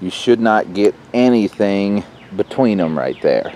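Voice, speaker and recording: At a moderate pace, a man talks in a normal speaking voice, fairly low in pitch with fairly even intonation, in a dry sound with no echo and light background noise. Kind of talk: tutorial. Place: garden. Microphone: camera far.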